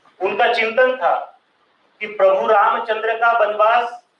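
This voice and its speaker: A man with a Marathi accent speaks in a high voice. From Maharashtra. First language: Marathi (speaking Hindi). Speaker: social thinker and speaker. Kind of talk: public lecture. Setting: stage with audience.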